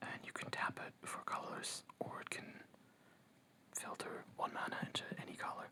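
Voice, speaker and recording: A whisper moves at a moderate pace through noticeable background noise. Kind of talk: ASMR card pack opening. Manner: whispered.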